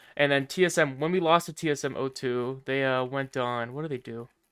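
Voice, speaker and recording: This man has a normal speaking voice at a fairly high pitch and a moderate pace. The recording is very clean with a silent background. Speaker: esports podcast host and team owner. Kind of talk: casual chat.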